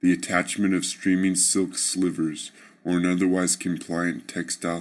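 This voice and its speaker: In a theatrical, solemn tone, a man with a very deep, low pitch speaks in a flat monotone, captured on a very clean recording with a silent background. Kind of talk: horror fiction narration. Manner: solemn, ornate first-person delivery of a tailor's dummy's tale, dark and brooding; measured, formal and theatrical, building menace toward the violent climax.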